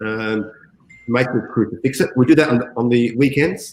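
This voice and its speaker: A man with an Australian accent speaks at a moderate pace, his medium-pitched voice carrying fairly even intonation. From Australia, Adelaide. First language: Greek. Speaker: call center general manager. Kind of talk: interview.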